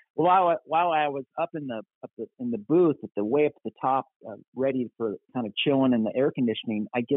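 A man talks at a fairly quick pace and medium pitch in a normal speaking voice. His intonation is lively. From US Midwest (Kansas, Minnesota). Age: 60s. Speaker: pastor. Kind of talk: casual chat.

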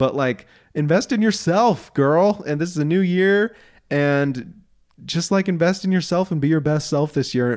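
On a very clean recording with a silent background, a man talks in a US Midwestern accent. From southeast Iowa, US Midwest. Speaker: podcast co-host. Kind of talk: casual chat. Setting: studio.

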